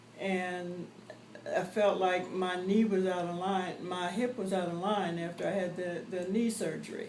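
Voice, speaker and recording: A woman's medium-pitched, monotone, flat delivery at a fairly slow pace, with audible room echo and noticeable background noise. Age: 70s. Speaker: patient. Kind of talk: testimony.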